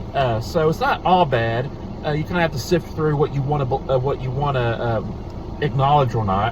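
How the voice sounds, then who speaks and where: At a moderate pace, a man speaks in a fairly high voice. Audible room echo and noticeable background noise fill the recording. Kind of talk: casual talk to camera. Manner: halting, many fillers.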